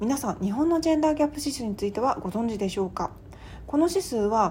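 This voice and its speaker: This woman's voice has a dark, mellow tone, a somewhat breathy quality and lively intonation. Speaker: podcast host and writer. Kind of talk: solo podcast monologue. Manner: casual with polite phrasing.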